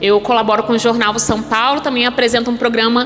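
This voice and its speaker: A woman with a high pitch speaks at a moderate pace in a Rio de Janeiro accent, with audible room echo and noticeable background noise. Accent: carioca. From Brazil, Rio de Janeiro. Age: 30s. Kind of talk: sermon.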